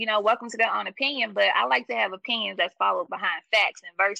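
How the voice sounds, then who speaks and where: Very rapid speech with wildly swinging pitch, a bright, sharp tone and vocal fry, recorded dry and close with no echo. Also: woman. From US South. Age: 30s. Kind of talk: casual interview conversation.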